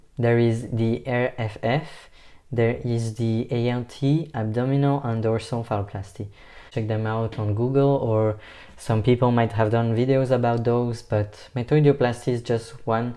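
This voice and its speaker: At a moderate pace, a man speaks in a dark, mellow tone at medium pitch, his intonation monotone and flat. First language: not English. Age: 20s. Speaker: vlogger. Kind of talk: personal vlog.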